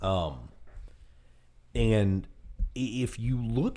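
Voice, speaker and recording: A man with lively intonation. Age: 20s. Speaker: podcast host, former news anchor. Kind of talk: casual chat.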